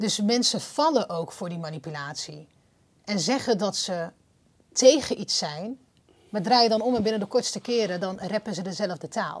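A somewhat breathy woman's voice at a medium pitch. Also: lively intonation, moderate pace. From Netherlands. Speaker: podcast host. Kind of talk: interview. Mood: earnest, critical. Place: studio. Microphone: lapel.

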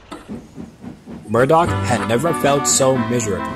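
The plain reading aloud moves with lively intonation.

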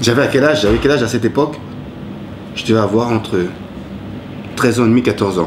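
A man talks at a very fast pace with ordinary pitch variation, stopping for long, frequent pauses. There is noticeable background noise. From Ivory Coast, then Paris suburbs from age 8. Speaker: cook and former rapper; interviewee. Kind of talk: interview. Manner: halting. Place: home room.

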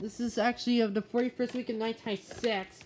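Faint background noise sits behind the voice. The tone is slightly mellow and the pace moderate.

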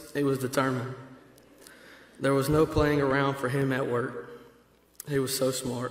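A man with a Georgia accent, with audible room echo. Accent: Southern American (Georgia). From Georgia, US South. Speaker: friend of the deceased. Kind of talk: reading a prepared eulogy. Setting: church funeral service. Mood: solemn, grieving. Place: church.

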